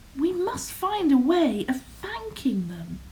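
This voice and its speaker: A woman speaks in a put-on character voice, high-pitched with very wide pitch swings. She talks at a fairly slow pace over clear background noise. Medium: read story.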